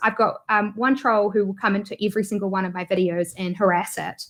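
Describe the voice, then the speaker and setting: A woman with a New Zealand accent speaks at a very fast pace, her pitch fairly high. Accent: New Zealand accent, noticeable. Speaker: YouTuber and online business entrepreneur. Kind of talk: interview conversation. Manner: hesitant, many fillers.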